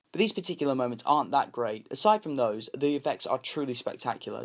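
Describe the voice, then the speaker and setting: Someone with a British accent talks at a very fast pace with ordinary pitch variation. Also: man. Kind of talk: film review.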